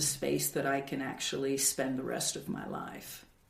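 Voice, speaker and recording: A woman's voice carries audible room echo. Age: 60s. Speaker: builder and artist. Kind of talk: interview testimony.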